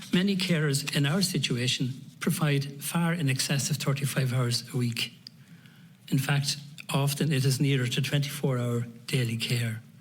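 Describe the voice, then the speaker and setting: In a room with audible echo, a man with a fairly high pitch talks at a moderate pace in a somewhat breathy voice. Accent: Irish. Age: 60s. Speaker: family carer, retired nurse. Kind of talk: prepared testimony.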